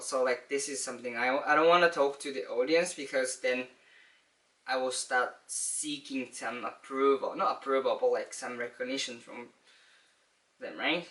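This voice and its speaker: A man is speaking. His pace is moderate. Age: 20s. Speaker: vlogger. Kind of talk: casual monologue. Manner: halting.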